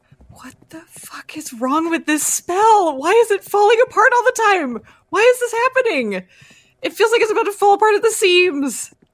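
A woman's put-on character voice, extremely high-pitched, with very wide pitch swings and big swings in loudness, at a moderate pace, with a dry, close sound and no echo. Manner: muttering under breath.

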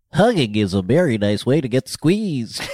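A put-on character voice, low-to-middle in pitch, at a moderate pace. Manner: sweet, playful.

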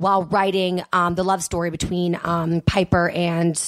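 At a moderate pace, a woman talks at a medium pitch in a plain, everyday voice. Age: 30s. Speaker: radio host. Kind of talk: casual chat.

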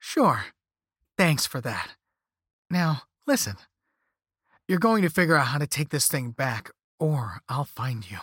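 Speaking slowly in a put-on character voice, a man swings his pitch widely, leaves long, frequent pauses and carries a slightly husky edge, all in a dry, close sound with no echo. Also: medium pitch for a man, very clean recording, silent background.

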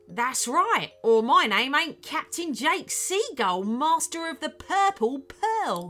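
A woman's put-on character voice, gruff and growling, high in pitch with big pitch swings, faint music in the background. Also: slow pace, fairly bright tone.

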